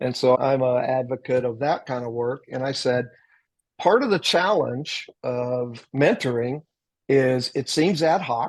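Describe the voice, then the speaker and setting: A man speaks fairly slowly at a medium pitch, with ordinary pitch variation. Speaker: military veteran and retired corporate leader, author on mentoring. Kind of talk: podcast interview. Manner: loud.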